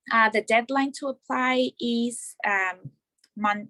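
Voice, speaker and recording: In a plain, everyday voice, a woman speaks at fairly high pitch with ordinary pitch variation, the sound dry and close with no echo. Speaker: student chapter officer presenting orientation. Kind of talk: presentation to club members.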